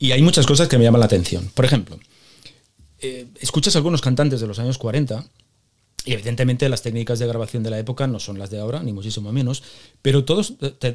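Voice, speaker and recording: Here a man speaks at a very fast pace. His pitch sits in the medium range and varies in an ordinary way. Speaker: podcast host. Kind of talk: interview; scripted intro monologue.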